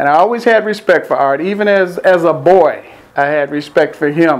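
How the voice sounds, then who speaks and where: With an American accent, this man speaks in a high pitch and a warm tone, his intonation lively. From US Midwest (Pontiac, Michigan). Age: 60s. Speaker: video producer. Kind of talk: personal video message. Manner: warm, conversational.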